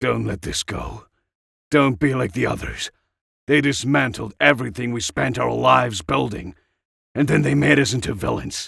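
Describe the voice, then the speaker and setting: Putting on a raspy character voice, a man talks at a medium pitch and a moderate pace. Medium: read story. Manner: impassioned, intense.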